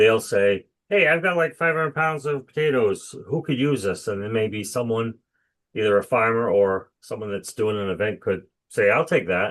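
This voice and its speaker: A man's normal speaking voice at medium pitch, moderate pace and lively intonation. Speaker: executive director of a recycling association. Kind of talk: webinar presentation. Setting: video call.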